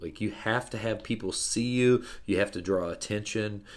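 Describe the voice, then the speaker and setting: A man with an American accent speaks in a plain, everyday voice at a moderate pace, with ordinary pitch variation. The recording is very clean, with a silent background. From US Midwest (central Illinois). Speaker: business owner. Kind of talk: casual interview.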